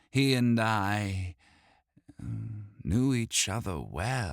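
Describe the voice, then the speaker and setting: This is a man. He speaks in a put-on character voice. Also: very clean recording, silent background. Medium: read story. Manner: warm, wry, knowing.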